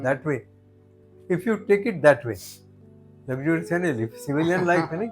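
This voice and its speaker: Music plays behind a man whose fairly high pitch rises and falls in lively intonation, broken by long, frequent pauses. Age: 80s+. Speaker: army veteran. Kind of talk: interview answer.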